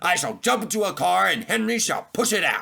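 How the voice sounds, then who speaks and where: A put-on character voice moves at a fairly quick pace. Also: man. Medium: read story. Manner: brisk, matter-of-fact.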